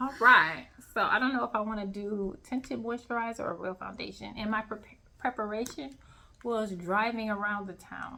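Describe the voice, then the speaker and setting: A woman talks at a moderate pace. Her pitch is fairly high, with ordinary variation. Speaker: podcast guest. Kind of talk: casual chat. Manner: loud.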